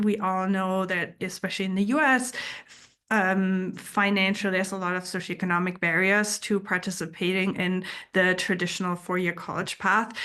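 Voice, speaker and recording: Against a quiet background, a woman with a German accent speaks at a moderate pace in a bright, sharp tone. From Germany. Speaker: geoscience researcher and speaker. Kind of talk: presentation talk. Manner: halting with fillers.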